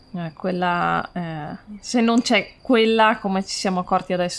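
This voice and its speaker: A woman speaks at a fairly low pitch and a fairly slow pace. The recording is very clean, with a silent background. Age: 30s. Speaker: farmer. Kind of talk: interview. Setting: on the farm.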